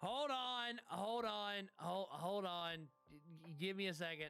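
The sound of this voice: This is a gruff, put-on character voice. It sits at a middle pitch and moves at a fairly slow pace.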